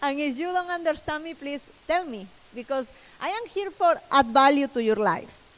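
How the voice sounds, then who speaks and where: At a moderate pace, a woman in a Spanish accent talks at a high pitch with lively intonation and big shifts in loudness. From Peru. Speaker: personal branding expert. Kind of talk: conference talk. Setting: stage with audience.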